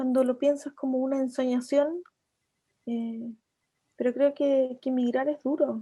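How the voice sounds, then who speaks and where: Flat, monotone intonation runs throughout. The tone is dark and mellow. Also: woman. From Chilean Patagonia (Coyhaique). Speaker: writer. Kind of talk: interview. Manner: hesitant, many repetitions and fillers.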